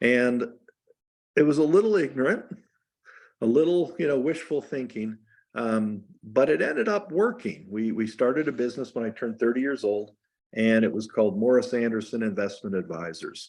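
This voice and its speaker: Over a quiet background, a man with an ordinary speaking voice talks at a moderate pace and medium pitch, his intonation lively. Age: 60s. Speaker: investment firm founder. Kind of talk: interview.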